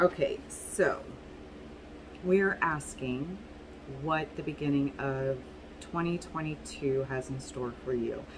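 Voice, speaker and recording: Her pitch very deep and low, a woman speaks at a very slow pace in a somewhat breathy voice, with ordinary pitch variation and long, frequent pauses. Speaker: tarot reader. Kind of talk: tarot reading video. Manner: casual, halting with fillers.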